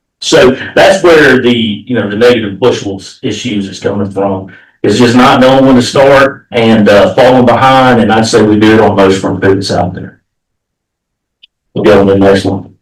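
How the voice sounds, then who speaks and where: There is audible room echo around a man's voice. He has medium pitch and an American accent. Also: ordinary pitch variation. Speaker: agricultural researcher. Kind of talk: presentation. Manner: fast.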